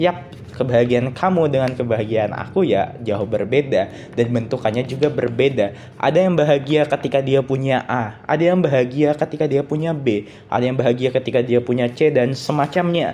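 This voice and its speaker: Shrill yet dark and mellow in tone, a man talks at a fairly quick pace with hardly any pauses and ordinary pitch variation. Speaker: solo podcaster. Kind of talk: solo podcast monologue. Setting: recording at night. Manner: casual, conversational.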